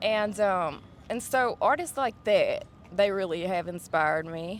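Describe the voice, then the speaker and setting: Speaking with a Southern US accent, a woman goes at a fairly slow pace. Her intonation is lively. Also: medium pitch for a woman. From West Tennessee, USA. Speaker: singer-songwriter. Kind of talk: interview answer.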